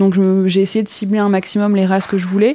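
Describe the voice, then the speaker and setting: A woman's voice at medium pitch carries a dark, mellow tone. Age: 30s. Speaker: dog breeder. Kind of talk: casual interview. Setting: at guest's home with puppies.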